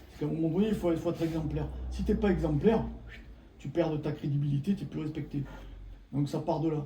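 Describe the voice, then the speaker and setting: A man's fairly high-pitched voice at a very fast pace, with long, frequent pauses, fairly even intonation and noticeable background noise. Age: 60s. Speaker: former martial arts practitioner. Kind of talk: casual chat.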